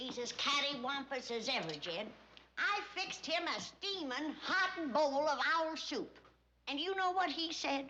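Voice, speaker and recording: A put-on character voice in an Appalachian accent, lively in intonation and moderate in pace. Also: woman, high pitch for a woman. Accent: rural Southern mountain. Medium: short film. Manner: brisk, sharp-tongued.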